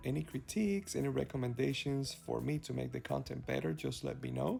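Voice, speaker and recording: A man talks at a moderate pace with a Cuban accent. Music plays in the background. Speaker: travel vlogger. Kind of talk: travel vlog narration. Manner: casual, with fillers and hesitations.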